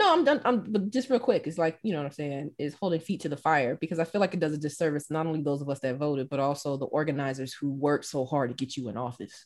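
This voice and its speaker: A woman with a Southern US accent talks very fast at a very deep, low pitch, with ordinary pitch variation and hardly any pauses. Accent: Southern US (Georgia). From US South, Southwest Georgia. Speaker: English professor. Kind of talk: casual chat. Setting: studio.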